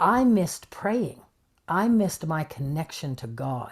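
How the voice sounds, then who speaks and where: On a very clean recording with a silent background, a woman speaks fairly slowly in a fairly low pitch, her pitch swinging very widely. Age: 60s. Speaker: spiritual channeler. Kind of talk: interview conversation.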